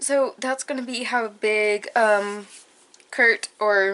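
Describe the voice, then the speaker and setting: A woman speaks at a fairly high pitch. Her intonation is fairly even. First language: not English. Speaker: craft YouTuber. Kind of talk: casual tutorial vlog. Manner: hesitant, many fillers.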